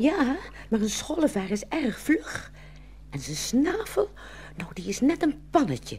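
Over faint background noise, a woman in a put-on character voice speaks at a high pitch and a fairly slow pace, her pitch swinging very widely. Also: slightly mellow tone.

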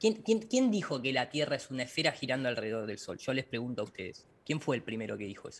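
A man talks at a very fast pace with hardly any pauses, somewhat breathy. His pitch swings very wide and his loudness swings big. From Argentina, La Plata; Argentina. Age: 40s. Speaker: flat-earth lecturer, visual effects director; flat-earth lecturer. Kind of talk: interview. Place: home room. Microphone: video call.

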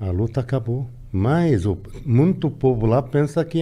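A man's voice with a dark, mellow tone. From Lebanon. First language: Arabic (speaking Portuguese). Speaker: immigrant interviewee; podcast guest. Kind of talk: casual interview; interview answer. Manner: halting, repeating words. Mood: serious, reflective. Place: studio. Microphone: studio mic.

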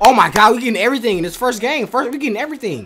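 In an excited, animated tone, a man speaks with a raised, projected voice at a high pitch. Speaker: YouTube reaction streamer. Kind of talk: casual reaction commentary. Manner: excited, animated, reacting out loud play by play with slang; casual, repetitive filler phrases. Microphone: studio mic.

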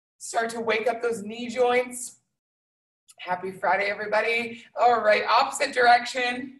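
A woman speaks at a moderate pace with fairly even intonation. Room echo is audible, though the background is quiet. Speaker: fitness instructor. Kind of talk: workout instruction. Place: gym. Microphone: video call.

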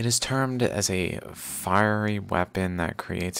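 Someone speaks at a very slow pace in a dry sound with no echo. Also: man. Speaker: video host. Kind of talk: casual commentary, reading aloud. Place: home room.

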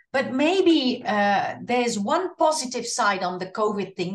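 Over a quiet background, someone with a Dutch accent speaks at a fairly slow pace with very wide pitch swings. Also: woman. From Netherlands. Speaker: singer; interviewee. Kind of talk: interview. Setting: video call. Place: home room. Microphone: video call.

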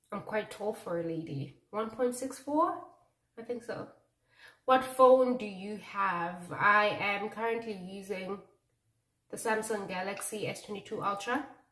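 Against a quiet background with audible room echo, a woman talks very slowly, with ordinary pitch variation and big swings in loudness. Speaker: beauty vlogger. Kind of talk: casual vlog chat. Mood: relaxed, laughing. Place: bathroom. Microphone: phone near.

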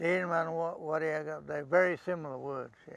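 A man talks at a moderate pace in a fairly high pitch, with monotone, flat intonation. The sound is dry, with no echo. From Upper Gascoyne, Western Australia. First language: Thiin. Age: 80s. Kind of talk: interview answer, storytelling. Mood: calm, reflective, proud. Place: open country.

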